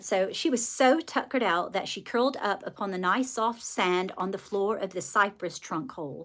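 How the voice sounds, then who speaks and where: A woman with a slight British accent speaks at a moderate pace and a medium pitch. Her intonation is lively, and the recording is very clean with a silent background. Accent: slight British RP touches. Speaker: livestreamer and children's author. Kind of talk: casual livestream chat. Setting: live stream reading viewer comments.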